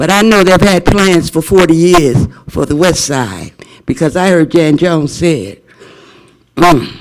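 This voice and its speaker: Here a man talks at a fairly slow pace with a high pitch. He has an American accent. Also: ordinary pitch variation. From Las Vegas, Nevada. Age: 70s. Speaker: public commenter, voucher holder. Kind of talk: public comment at board meeting. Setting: public board meeting. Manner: emphatic, rhetorical questions.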